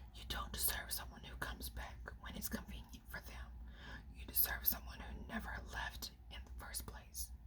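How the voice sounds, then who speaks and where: A soft-spoken woman whispers at a moderate pace. Noticeable background noise can be heard. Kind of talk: ASMR whisper reading of inspirational quotes off a phone. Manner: whispered, soft.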